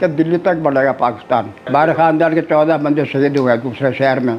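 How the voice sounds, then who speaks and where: Background music is present. Pitch moves in an ordinary way. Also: man. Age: 80s+. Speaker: Partition survivor. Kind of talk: oral history interview answer.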